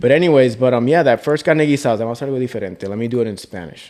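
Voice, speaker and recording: Very fast speech from a man at medium pitch, dark, mellow tone and ordinary pitch variation. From US, military family of Puerto Rican heritage. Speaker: food content creator. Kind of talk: casual podcast chat.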